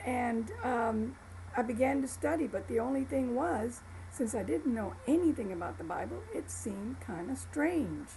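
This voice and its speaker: Someone with an American accent speaks at a moderate pace. The room gives audible echo. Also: woman. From Florida, Tampa (Ybor City), Cuban family. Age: 70s. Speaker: church member giving life story. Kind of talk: testimony. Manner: halting, with repetitions and fillers.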